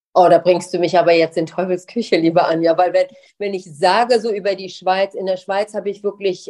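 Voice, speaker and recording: A woman speaks at a fairly quick pace in a medium pitch, her tone dark and mellow. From Germany. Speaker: lawyer and diversity expert. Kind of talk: interview.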